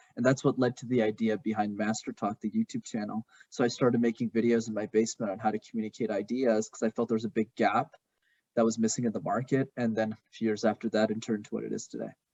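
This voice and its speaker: A man talks at a very fast pace in a Canadian accent. His medium-pitched voice stays monotone and flat in intonation. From Montreal, Canada. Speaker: communication coach. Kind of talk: podcast interview.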